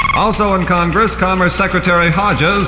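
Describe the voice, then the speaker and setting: Noticeable background noise sits under a man speaking fairly quickly with a high pitch and fairly even intonation. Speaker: radio newsreader. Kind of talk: radio newscast.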